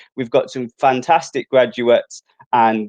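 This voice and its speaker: Someone with a Brummie accent is heard in a dry, close recording with no echo. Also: man. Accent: Brummie (Birmingham). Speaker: university outreach presenter. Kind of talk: live stream presenting.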